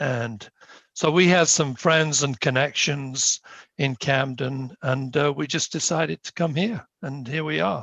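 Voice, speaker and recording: A man speaks with a British accent at a fairly slow pace. His pitch sits fairly high. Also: ordinary pitch variation. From United Kingdom. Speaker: town planning board member. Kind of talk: self-introduction at a meeting. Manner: hesitant, many fillers.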